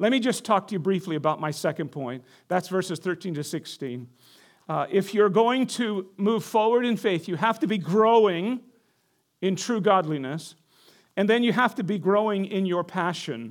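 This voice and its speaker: Lively intonation marks a man's high-pitched voice at a moderate pace. The recording is very clean, its background silent. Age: 60s. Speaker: pastor. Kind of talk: sermon. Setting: church.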